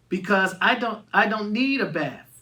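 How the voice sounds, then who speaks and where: A woman puts on a rumbling character voice at medium pitch, speaking at a moderate pace. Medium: read story. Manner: stubborn, grumbly.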